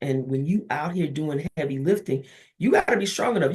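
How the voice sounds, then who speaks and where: A woman's voice is fairly low in pitch and somewhat breathy. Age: 60s. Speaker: therapist and professor. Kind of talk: interview.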